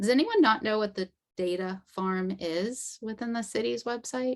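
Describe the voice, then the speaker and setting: With a Boston accent, a woman speaks at a very slow pace. Her pitch is medium, with ordinary pitch variation. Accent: Somerville Boston-area. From Somerville, Boston area. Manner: dropping final r sounds.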